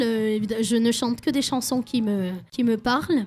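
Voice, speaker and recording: A woman speaks very slowly in a fairly high voice, somewhat breathy, with a dark, mellow tone and ordinary pitch variation. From French Basque Country. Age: 20s. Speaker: singer-songwriter. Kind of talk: radio interview. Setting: radio studio at a festival.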